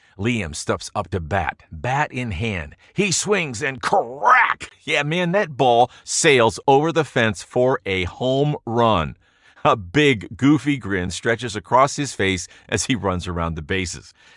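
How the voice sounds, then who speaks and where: Very slow and full of vocal fry, a man's voice swings very widely in pitch in a dry, close sound with no echo. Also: medium pitch for a man. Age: 60s. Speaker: sales pitch narrator. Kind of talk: sales pitch. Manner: dramatic storytelling.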